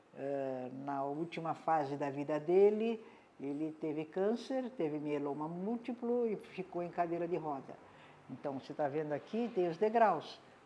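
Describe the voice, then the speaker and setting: A woman speaks at a moderate pace with a very deep, low pitch and a dark, mellow tone. Her intonation is lively. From Brazil, Santos (São Paulo coast). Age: 80s+. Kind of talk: interview testimony. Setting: at home. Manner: halting.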